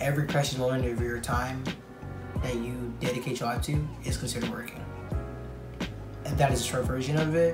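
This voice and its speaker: Over clear music in the background, a man speaks at a fairly quick pace, broken by long, frequent pauses. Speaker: vlogger. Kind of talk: casual talk to camera. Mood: relaxed, reflective. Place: home room. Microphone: earbuds.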